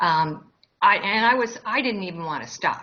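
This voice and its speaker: Noticeable background noise sits behind the recording. A woman speaks at a medium pitch with ordinary pitch variation. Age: 60s. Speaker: interviewee sharing weight loss story. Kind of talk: interview.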